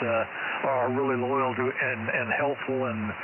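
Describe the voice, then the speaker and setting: A man talks at a medium pitch with fairly even intonation. Noticeable background noise and audible room echo are present. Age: 80s+. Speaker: retired engineer, ham radio operator. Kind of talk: amateur radio contact chat. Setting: radio transmission. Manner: halting, many fillers.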